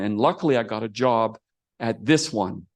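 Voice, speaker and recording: Against a quiet background, a man talks with lively intonation. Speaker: astronomer giving a talk. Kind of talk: lecture. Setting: theater with audience, streamed on video call. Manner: fast.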